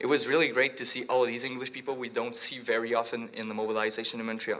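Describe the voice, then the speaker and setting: In a Quebec French accent, a man speaks at a very fast pace with medium pitch and monotone, flat intonation, and the room echo is audible. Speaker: student activist. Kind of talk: conference talk. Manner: halting.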